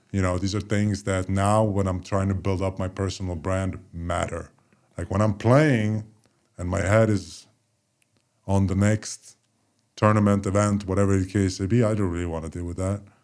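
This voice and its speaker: The recording is very clean, with a silent background. Intonation stays fairly even at a moderate pace. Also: man, fairly low pitch for a man. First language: Polish. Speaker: former professional basketball player. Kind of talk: casual chat.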